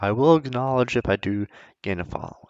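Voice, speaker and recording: Mumbling at a moderate pace, a man speaks with lively intonation. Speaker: gaming YouTuber. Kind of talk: casual chat.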